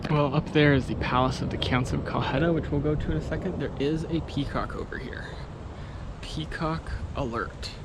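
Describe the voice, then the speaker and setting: A man speaks at a moderate pace, his voice carrying audible room echo amid noticeable background noise. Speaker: travel vlogger. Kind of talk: casual travel vlog narration. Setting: outdoors. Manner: casual, hesitant with fillers.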